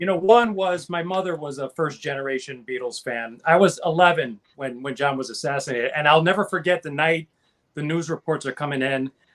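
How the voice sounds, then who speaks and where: A man's fairly high-pitched voice, an ordinary speaking voice. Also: ordinary pitch variation, fairly quick pace. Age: 50s. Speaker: panelist on music talk show. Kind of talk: casual chat.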